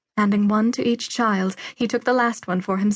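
Someone reads a text aloud. The voice is natural.

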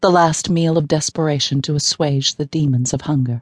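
Speaking at a moderate pace, a woman uses a very deep, low pitch with ordinary variation. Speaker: audiobook narrator. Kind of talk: dramatic audiobook narration, dream sequence, voicing a wounded woman.

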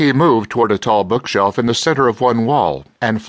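The clip features a natural reading voice whose pitch varies in an ordinary way.

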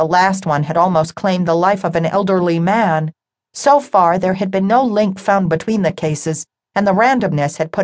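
In a natural reading-aloud voice with ordinary pitch variation, someone reads over a quiet background.

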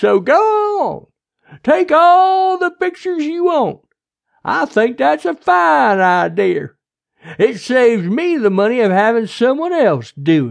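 A put-on character voice moves at a slow pace with vocal fry. Its pitch swings widely.

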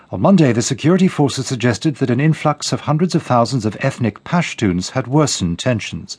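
Over a quiet background, a man at a medium pitch speaks fairly quickly and somewhat breathily, with lively intonation and hardly any pauses. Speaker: BBC newsreader. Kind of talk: news reading, scripted headlines bulletin. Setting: studio. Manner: formal, brisk, neutral and measured; crisp, even delivery with little emotion.

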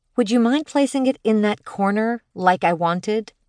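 A female-sounding voice performs a put-on character voice. The pitch is fairly high and the pace moderate. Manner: sweet, pleading; feigned helplessness, batting eyes.

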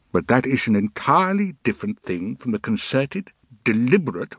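Dry and close with no echo, a man's voice with vocal fry moves fairly quickly through very wide pitch swings. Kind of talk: archival speech excerpt, political oratory.

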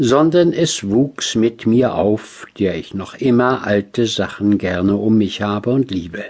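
This man has an unremarkable speaking voice, fairly low in pitch with ordinary variation. He speaks at a fairly slow pace. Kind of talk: audiobook reading of classic literary prose. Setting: studio. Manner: measured, formal, reflective.

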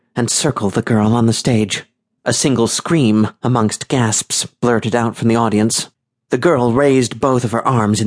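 The background stays quiet. Intonation is fairly even in this plain reading aloud.

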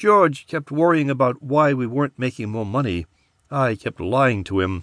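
A man speaks in a dramatic tone at a medium pitch and moderate pace, his pitch swinging very widely. The sound is dry and close with no echo, and the background is quiet. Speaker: audiobook narrator. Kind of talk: scripted audiobook narration, first-person noir. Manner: dramatic, hushed and gravelly, tense storytelling.

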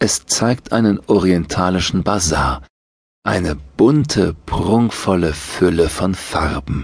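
A man speaks at a very slow pace with a very deep, low pitch. His intonation is lively, and vocal fry is present. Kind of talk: guided meditation. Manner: slow, calm, soothing.

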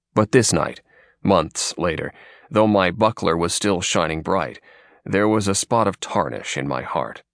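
The voice carries vocal fry and lively intonation at a fairly slow pace. The sound is dry and close with no echo. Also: man, very deep, low pitch for a man. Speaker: audiobook narrator. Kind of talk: literary audiobook reading, scripted narration. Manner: measured, steady, formal narration; earnest first-person storyteller voice.

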